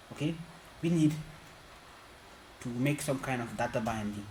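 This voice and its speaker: The speaker is a man with a fairly high pitch. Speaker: programming tutorial creator. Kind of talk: tutorial. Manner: halting.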